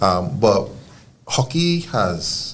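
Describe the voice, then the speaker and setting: With a Trinidadian accent, a man at a medium pitch talks amid audible room echo. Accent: Trinidadian, kept. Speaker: field hockey coach. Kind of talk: casual interview chat.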